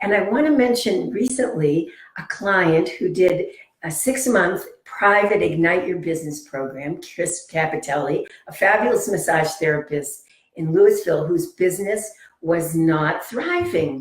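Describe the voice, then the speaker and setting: Somewhat breathy and medium in pitch, a woman talks at a fairly slow pace with lively intonation. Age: 70s. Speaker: business coach for healers, former acupuncture teacher. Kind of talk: interview.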